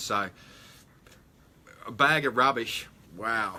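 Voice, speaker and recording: A man speaks in a bright, sharp tone at a medium pitch. His intonation is fairly even. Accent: Australian. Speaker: metal detecting livestream host. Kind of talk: live stream chat reading viewer comments. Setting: live stream. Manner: hesitant, many fillers.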